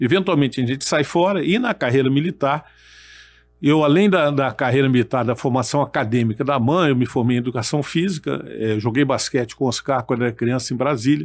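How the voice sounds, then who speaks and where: The recording is very clean, with a silent background, and a man talks at a fairly quick pace and medium pitch. His loudness is very even and his pitch variation ordinary. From Brazil, military family moving around. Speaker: retired army colonel and federal deputy. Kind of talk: podcast interview. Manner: halting, repeats words.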